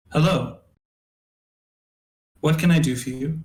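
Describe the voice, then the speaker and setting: Using a put-on, robotic character voice, a man talks at a moderate pace and a fairly high pitch. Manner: robotic, mechanical.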